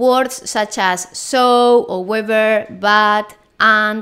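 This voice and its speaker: A bright, sharp tone in a Spanish accent comes through on a very clean recording with a silent background. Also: woman. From Spain. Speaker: Spanish teacher. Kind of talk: language lesson monologue.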